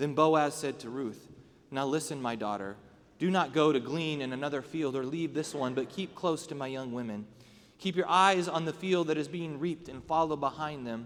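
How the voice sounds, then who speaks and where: A man with an ordinary speaking voice speaks at a fairly high pitch with ordinary pitch variation. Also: moderate pace. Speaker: pastor. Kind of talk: scripture reading aloud.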